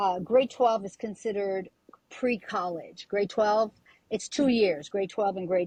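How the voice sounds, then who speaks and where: A woman's somewhat breathy voice, dark and mellow in tone, with ordinary pitch variation, a moderate pace and a dry, close sound with no echo. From Quebec, Canada (Montreal). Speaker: singer. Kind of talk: interview.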